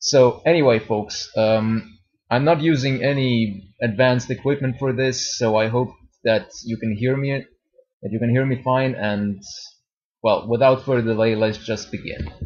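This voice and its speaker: A man talks in a Serbian accent. His voice is somewhat breathy. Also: medium pitch for a man, moderate pace. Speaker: YouTuber. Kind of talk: testimony. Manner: halting.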